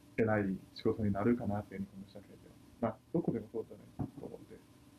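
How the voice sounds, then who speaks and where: He talks at a very fast pace with a dark, mellow tone and vocal fry. The man's pitch is fairly low. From China. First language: Chinese (speaking Japanese). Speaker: university student. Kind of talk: casual discussion.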